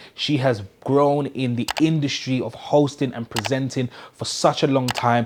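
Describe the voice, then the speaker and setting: Moderately paced, a man talks at a medium pitch. He has a normal speaking voice. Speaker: interview show host. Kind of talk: show intro to camera. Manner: upbeat.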